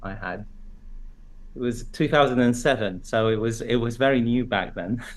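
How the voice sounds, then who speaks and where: The voice moves at a moderate pace with fairly even intonation. Audible room echo is present. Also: man, medium pitch for a man. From Iraq. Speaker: neurosurgeon. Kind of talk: casual interview chat.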